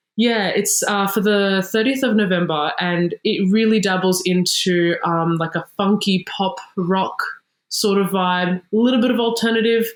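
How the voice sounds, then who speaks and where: In an Australian accent, a woman speaks with very even loudness. Her intonation stays fairly even. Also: medium pitch for a woman, moderate pace. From Sydney, Australia. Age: 20s. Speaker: singer-songwriter. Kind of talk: interview. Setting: video call.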